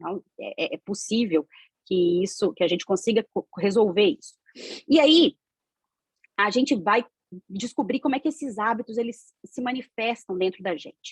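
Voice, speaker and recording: A somewhat breathy woman speaks with lively intonation and big swings in loudness, leaving long, frequent pauses. The sound is dry and close, with no echo. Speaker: spiritist lecturer. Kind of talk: lecture. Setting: video call. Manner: fast.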